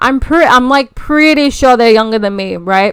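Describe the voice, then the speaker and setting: Lively in intonation, a woman with a high-pitched voice speaks at a fairly slow pace. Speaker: content creator. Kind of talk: casual vlog monologue. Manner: rambling with many fillers and false starts.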